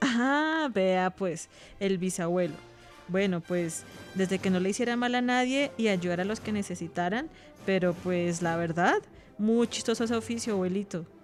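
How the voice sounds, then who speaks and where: With music playing behind her, a woman of medium pitch speaks at a moderate pace, her loudness very even and her intonation lively. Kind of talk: radio drama.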